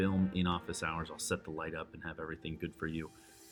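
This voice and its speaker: A man speaks with an American accent while music plays in the background. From New York. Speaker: Spanish teacher. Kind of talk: tutorial. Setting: home or classroom studio with camera light. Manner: loud.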